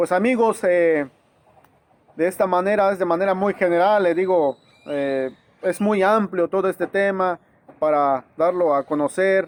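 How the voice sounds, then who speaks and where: Delivered in an Oaxacan accent, the speech moves at a fairly slow pace with ordinary pitch variation. The sound is dry and close, with no echo. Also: man. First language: Zapotec (speaking Spanish). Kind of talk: informal educational talk to camera. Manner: halting, many fillers and restarts.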